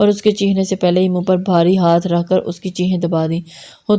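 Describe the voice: The voice reads from a text. It is plain reading aloud.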